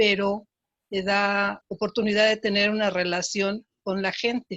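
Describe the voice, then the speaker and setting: A woman's medium-pitched voice, very slow and monotone in its flat intonation. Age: 70s. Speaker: qigong instructor. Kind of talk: panel discussion.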